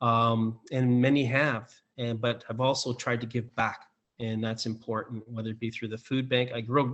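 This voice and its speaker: Speaking with a Canadian accent, a man keeps a medium pitch and a moderate pace in a monotone, flat intonation. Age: 60s. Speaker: political candidate. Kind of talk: debate closing remarks. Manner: halting, many fillers.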